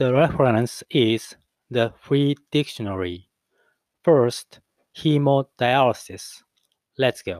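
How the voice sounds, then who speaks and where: In a non-native accent, a man speaks very slowly with long, frequent pauses, medium pitch and ordinary pitch variation, the sound dry and close with no echo. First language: not English. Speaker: English learner practicing pronunciation. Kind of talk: reading aloud.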